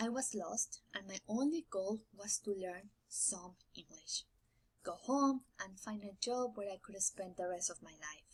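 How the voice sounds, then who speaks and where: The voice is somewhat breathy and fairly slow, with ordinary pitch variation. Its loudness swings widely. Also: woman, medium pitch for a woman. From Mexico. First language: Spanish. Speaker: graduating student. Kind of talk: prerecorded speech.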